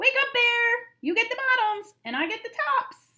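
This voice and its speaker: A woman's extremely high, squeaky put-on character voice at a moderate pace. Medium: read story. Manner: upbeat, persuasive.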